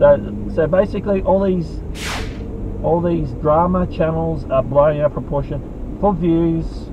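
A man speaks at a fairly slow pace. The sound is dry with no echo, but background noise is noticeable. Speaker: YouTube creator. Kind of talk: angry rant. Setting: in a car. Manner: heated, indignant. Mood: exasperated, ranting. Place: car. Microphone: phone near.

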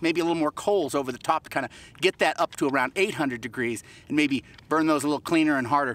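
A man at a very fast pace, with ordinary pitch variation and a dry sound with no echo. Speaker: pottery instructor. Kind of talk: tutorial. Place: open country.

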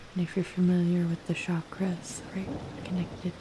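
A soft-spoken woman in a calm tone with flat, monotone intonation, over noticeable background noise. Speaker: cannabis and spirituality content creator. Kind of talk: guided grounding meditation. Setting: rain sounds layered in background. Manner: soft-spoken, calm, slow.

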